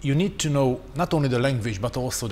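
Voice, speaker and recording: A man with a Hungarian accent and a medium pitch, with noticeable background noise. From Hungary. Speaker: strategic communication expert. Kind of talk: panel discussion.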